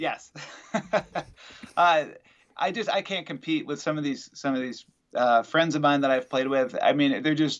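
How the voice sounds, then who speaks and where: A man's fairly high voice at a moderate pace, with ordinary pitch variation and long, frequent pauses. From Wisconsin. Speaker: musician. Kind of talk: casual interview.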